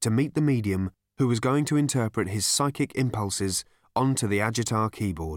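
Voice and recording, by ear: Quiet surrounds a natural-sounding voice reading a text aloud.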